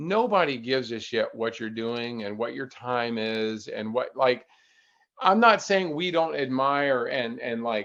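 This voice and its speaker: A man with an unremarkable speaking voice and medium pitch talks at a fairly slow pace, his intonation lively. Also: quiet background. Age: 60s. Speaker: ultrarunner. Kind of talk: casual chat.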